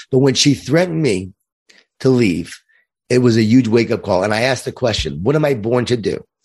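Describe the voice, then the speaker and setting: Using lively intonation, a man with a medium pitch speaks at a fairly quick pace. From Long Island, New York. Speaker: leadership speaker and author. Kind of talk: casual interview chat.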